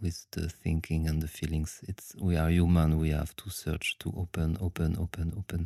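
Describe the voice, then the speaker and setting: A man's very deep, low, dark and mellow voice with a French accent, flat and monotone at a moderate pace, in a very clean recording with a silent background. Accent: French, noticeable. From France. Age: 30s. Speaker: dancer and aikido teacher. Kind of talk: casual interview. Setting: late-night recording after workshop. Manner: halting.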